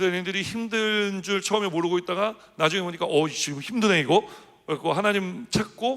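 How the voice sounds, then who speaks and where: At a very fast pace, a man talks in a high voice. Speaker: senior pastor. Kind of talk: sermon.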